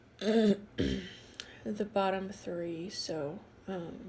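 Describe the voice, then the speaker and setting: Somewhat breathy and very slow, a woman speaks with fairly even intonation as audible room echo surrounds her. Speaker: tarot card reader. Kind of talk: tarot reading. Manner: casual, with many fillers.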